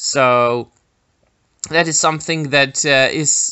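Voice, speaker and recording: Ordinary pitch variation marks speech delivered at a very slow pace. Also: man. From Czech Republic. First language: Czech. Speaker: YouTuber film commentator. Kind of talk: casual video commentary. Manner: hesitant, many filler words.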